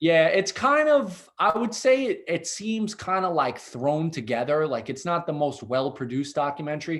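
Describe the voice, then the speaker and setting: Speaking in a strong Brooklyn accent, a man with a fairly high voice uses lively intonation at a moderate pace, with hardly any pauses. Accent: thick Brooklyn. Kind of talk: casual interview conversation.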